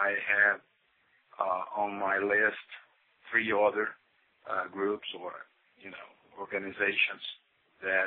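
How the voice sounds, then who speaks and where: Speaking very slowly in a Brazilian accent, a man uses a fairly low pitch and a monotone, flat intonation. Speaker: listener caller. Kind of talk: voicemail message. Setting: phone voicemail.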